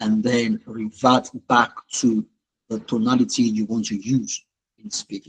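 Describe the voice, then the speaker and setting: A man's medium-pitched, monotone voice with flat intonation, big swings in loudness and a fairly slow pace, in a dry, close sound with no echo. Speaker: life coach. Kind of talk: webinar talk.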